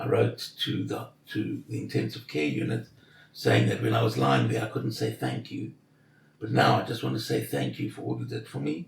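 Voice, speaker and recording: A man speaks in a very deep, low voice that makes very wide pitch swings. His pace is moderate, and there is noticeable background noise. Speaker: intensive care survivor. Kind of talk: interview.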